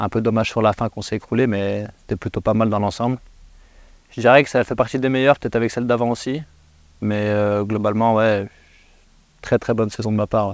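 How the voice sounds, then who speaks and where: A man with a fairly low pitch talks at a fairly quick pace, pausing long and often, his intonation monotone and flat. The sound is dry and close with no echo, in a very clean recording with a silent background. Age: 20s. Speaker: professional footballer. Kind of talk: post-match interview. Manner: hesitant, many fillers.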